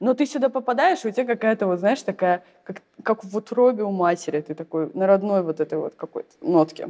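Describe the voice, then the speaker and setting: A woman speaks at a fairly quick pace with lively intonation in a medium pitch, an unremarkable speaking voice. The sound is dry and close, with no echo. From Saint Petersburg, Russia. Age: young. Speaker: entrepreneur in funeral services. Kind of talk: casual interview.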